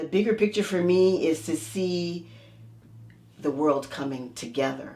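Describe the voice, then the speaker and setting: Noticeable background noise accompanies a woman with a very deep, low pitch and lively intonation. She moves at a fairly slow pace with long, frequent pauses. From United States. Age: 60s. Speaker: energy healer. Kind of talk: interview.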